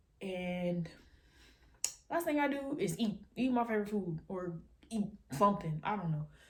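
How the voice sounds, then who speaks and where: A woman speaks with very wide pitch swings and a somewhat breathy quality. Her speech is broken by long, frequent pauses. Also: medium pitch for a woman. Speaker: YouTuber. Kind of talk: casual vlog monologue. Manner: fast.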